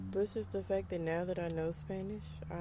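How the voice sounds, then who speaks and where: This is a woman with an American accent. She speaks at a moderate pace. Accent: Southern US accent, comes and goes. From US South, rural. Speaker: podcaster. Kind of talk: casual monologue. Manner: casual, conversational.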